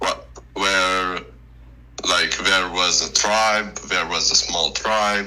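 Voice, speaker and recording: With noticeable background noise behind him, a man with a very deep, low pitch speaks at a very slow pace and fairly even intonation. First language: not English. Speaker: debate guest. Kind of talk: casual discussion. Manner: halting, many fillers and restarts.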